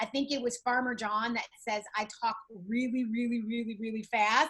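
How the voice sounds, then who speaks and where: Her fairly high voice stays monotone and flat as the woman speaks. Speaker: network marketing team leader. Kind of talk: online training session. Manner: fast.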